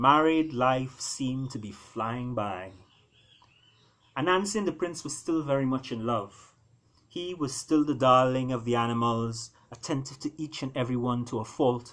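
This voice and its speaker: An ordinary speaking voice from a man, medium in pitch with ordinary pitch variation, at a moderate pace. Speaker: author. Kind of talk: storybook reading.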